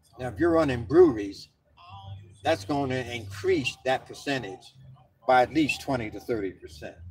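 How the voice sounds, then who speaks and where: The speaker has an American accent, lively intonation and big swings in loudness at a moderate pace, with long, frequent pauses. Music plays in the background. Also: man, medium pitch for a man. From Philadelphia, US. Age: 60s. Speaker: vlogger. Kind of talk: rant. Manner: animated.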